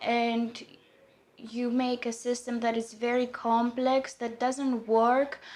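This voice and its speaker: A woman speaks very slowly in a high voice. Her intonation is monotone and flat. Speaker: conference speaker on ancient history. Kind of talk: conference talk. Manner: halting, many fillers.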